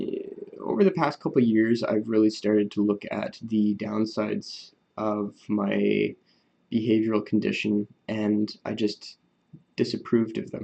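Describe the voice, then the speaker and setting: A man is soft-spoken. He talks at a fairly slow pace. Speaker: vlogger talking about his Asperger's. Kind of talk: casual monologue to camera. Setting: at home recording on an iPad. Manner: quiet, soft-spoken; hesitant, many fillers.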